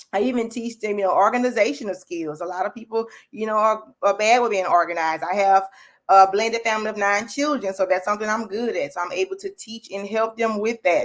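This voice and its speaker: A woman talks at a very fast pace in a Louisiana accent. Her fairly high voice is animated, with ordinary pitch variation. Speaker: faith-based business and life coach. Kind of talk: livestream chat.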